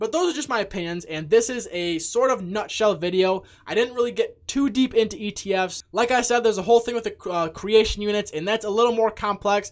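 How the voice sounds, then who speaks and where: A man talks in an animated tone at a fairly quick pace with hardly any pauses, using a high pitch and ordinary pitch variation. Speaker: crypto YouTuber. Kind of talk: casual video commentary. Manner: fast.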